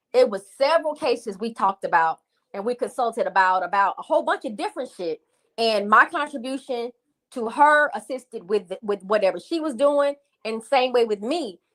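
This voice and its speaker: A woman speaks with a high pitch, an animated tone and lively intonation at a fairly quick pace. The sound is dry and close, with no echo. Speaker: live streamer discussing a case. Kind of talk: casual live stream talk. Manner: fast.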